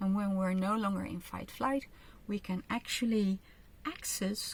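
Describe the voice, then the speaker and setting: A woman with a Dutch accent and a somewhat breathy voice. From Netherlands. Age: 50s. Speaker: kinesiologist and author. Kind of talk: online training with guided exercises. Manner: slow, careful English with fillers.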